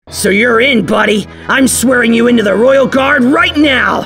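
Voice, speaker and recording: A loud, put-on character voice speaks at a moderate pace. Faint music plays in the background. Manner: loud, excitable, swearing.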